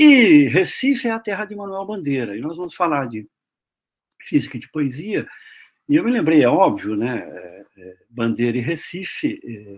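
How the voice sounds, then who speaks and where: Over a silent background in a very clean recording, a man with a fairly high pitch speaks at a moderate pace, his pitch swinging very widely and his loudness changing greatly. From Brazil, interior of Paraná (Maringá). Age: 60s. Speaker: physics professor. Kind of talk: lecture. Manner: halting, many fillers.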